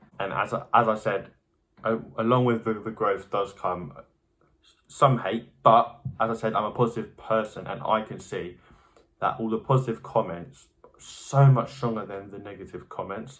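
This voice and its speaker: A man's medium-pitched voice in an English accent at a moderate pace, with fairly even intonation, big swings in loudness, and a very clean recording with a silent background. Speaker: youtuber. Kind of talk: casual vlog talk. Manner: halting with repetitions.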